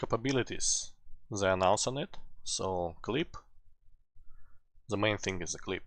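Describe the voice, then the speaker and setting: The speaker has a non-native accent and a fairly slow pace, with ordinary pitch variation and long, frequent pauses. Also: man, fairly low pitch for a man. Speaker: laptop repair technician. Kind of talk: casual tutorial talk to camera.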